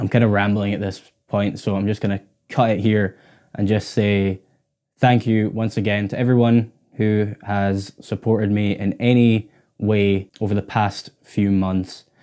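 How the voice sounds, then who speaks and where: Against a quiet background, a man with a dark, mellow tone speaks at a fairly low pitch and fairly slow pace, his intonation monotone and flat. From Scotland, Orkney; Scotland. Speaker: guitarist and YouTuber; YouTuber. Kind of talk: casual vlog to camera. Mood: grateful, relaxed. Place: home room. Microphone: lapel.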